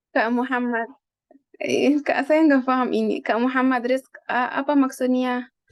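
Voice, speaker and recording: A woman's high-pitched voice with a non-native accent, fairly slow pace, monotone, flat intonation and very even loudness. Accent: non-native Indonesian. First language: Arabic (speaking Indonesian). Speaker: Arabic teacher. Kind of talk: online language lesson.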